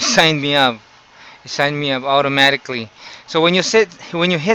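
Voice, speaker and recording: A fairly quick voice with a Filipino accent, ordinary pitch variation, and noticeable background noise. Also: man. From Philippines. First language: Tagalog. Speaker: YouTuber. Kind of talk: tutorial. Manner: halting.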